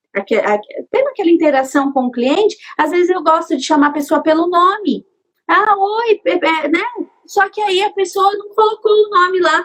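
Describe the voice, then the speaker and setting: A woman speaks at a moderate pace with an extremely high pitch. Her pitch swings very widely. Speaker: artisan, craft business owner. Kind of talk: casual interview chat.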